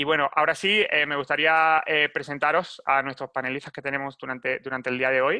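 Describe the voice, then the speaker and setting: A man speaks at a fairly quick pace with a fairly high pitch and a bright, sharp tone, his intonation monotone and flat. The sound is dry and close with no echo, against a quiet background. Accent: Spanish. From Spain. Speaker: webinar moderator, marketing manager. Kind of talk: webinar presentation. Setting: live online webinar. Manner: halting, many fillers and repetitions.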